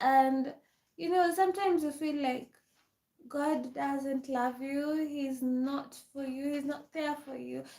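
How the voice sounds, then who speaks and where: Speaking very slowly with fairly even intonation, a woman with an African accent has a high pitch and a dark, mellow tone. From Kenya. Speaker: live streamer. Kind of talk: casual chat. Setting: livestream.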